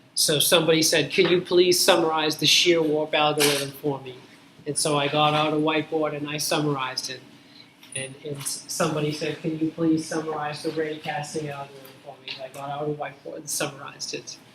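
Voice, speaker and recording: Over noticeable background noise and audible room echo, a man speaks at a fairly high pitch in a flat, monotone intonation, his loudness swinging widely. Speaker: university lecturer. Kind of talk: lecture. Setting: classroom with students. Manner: slow.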